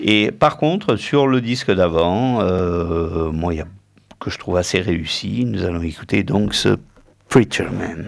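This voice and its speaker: His voice is very deep and low, with lively intonation. This man speaks at a very slow pace. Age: middle-aged. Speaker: radio music show host. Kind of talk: casual radio chat presenting music.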